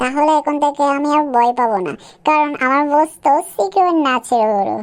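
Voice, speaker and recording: A woman's cartoonish character voice, high in pitch. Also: moderate pace, ordinary pitch variation. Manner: anxious.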